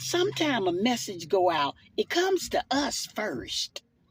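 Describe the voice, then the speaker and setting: A woman with a Southern US accent, very slow, with very wide pitch swings and vocal fry, in a dry, close sound with no echo. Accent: Southern US (Georgia). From US South. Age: 60s. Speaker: church minister. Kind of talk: sermon-style personal video message. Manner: fervent, preaching style.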